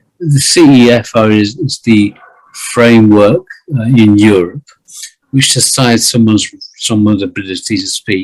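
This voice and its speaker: A man speaks with a British accent in a medium pitch, his pitch varying in an ordinary way. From Britain. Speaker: writer and English teacher. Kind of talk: interview. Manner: slow and deliberate; halting, many repeated words.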